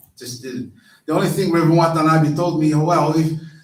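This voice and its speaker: A man's voice comes with audible room echo. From Brazil, Rio de Janeiro. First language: Portuguese. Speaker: minister. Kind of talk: sermon. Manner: halting.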